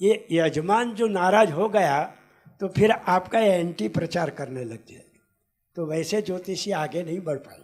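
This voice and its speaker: Pitched high for a man, his voice shows ordinary pitch variation and big swings in loudness. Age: 80s+. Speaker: astrologer. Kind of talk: conference talk.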